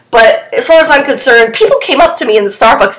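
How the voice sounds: A woman's fairly high, fairly bright voice at a fast pace, with lively intonation and audible room echo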